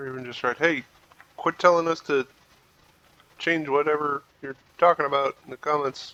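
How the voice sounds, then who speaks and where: A mumbling man with a fairly high voice, at a moderate pace with fairly even intonation, long, frequent pauses and big swings in loudness, in a dry, close sound with no echo over noticeable background noise. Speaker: gaming youtuber. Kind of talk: gameplay commentary. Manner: casual.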